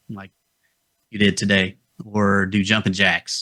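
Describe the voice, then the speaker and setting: Dry and close with no echo, a man with a Southern Appalachian accent speaks at a fairly slow pace and fairly low pitch, with fairly even intonation and a bright, sharp tone. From US South, North Georgia Appalachians. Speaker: health podcast co-host. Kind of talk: casual chat.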